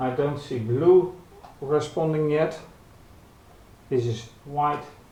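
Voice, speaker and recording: At a very slow pace, a soft-spoken man with a fairly high pitch talks in fairly even intonation, with audible room echo around him. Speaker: hobbyist robotics youtuber. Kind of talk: tutorial. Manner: halting. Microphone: camera built-in mic.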